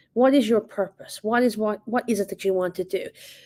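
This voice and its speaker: A woman with an Irish accent speaks at medium pitch and a moderate pace, with ordinary pitch variation and a dark, mellow tone. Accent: Irish, noticeable. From Ireland. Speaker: assistant principal, speaker. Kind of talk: leadership talk. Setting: online virtual event.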